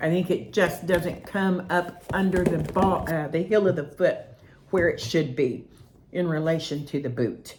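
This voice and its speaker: Against noticeable background noise and audible room echo, a woman speaks at a fairly low pitch with ordinary pitch variation. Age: 60s. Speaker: roller skating hobbyist reviewer. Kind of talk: product review. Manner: casual, rambling with hesitations.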